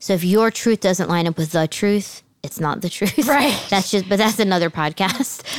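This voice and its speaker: With an American accent, a woman talks at a moderate pace with hardly any pauses, medium pitch, ordinary pitch variation and a plain, everyday voice. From New Jersey, near Philadelphia. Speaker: podcast co-host. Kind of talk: casual faith conversation.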